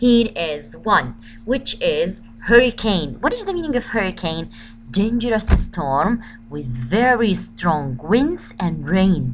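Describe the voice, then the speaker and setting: At a fairly slow pace, a woman talks in a medium pitch with vocal fry. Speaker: school teacher. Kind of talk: recorded lesson for pupils.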